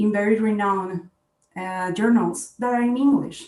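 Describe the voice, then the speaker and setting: A woman's somewhat breathy voice at a medium pitch with a Spanish accent, fairly even intonation and a moderate pace. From Colombia, Bogota. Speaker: scientist. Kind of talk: panel discussion.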